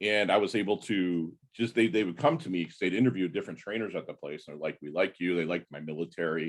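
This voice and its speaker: A man with a very deep, low voice talks at a very fast pace, his pitch varying in an ordinary way while his loudness swings widely. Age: 50s. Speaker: navy veteran and podcaster. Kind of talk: casual chat. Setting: video call.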